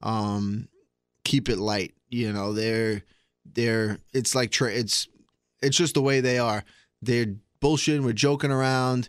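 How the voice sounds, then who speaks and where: A man with a Long Island accent speaks at a very slow pace, his medium-pitched voice keeping a fairly even intonation through long, frequent pauses. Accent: New York (Long Island). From Long Island, New York. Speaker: MMA fighter. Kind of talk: casual interview.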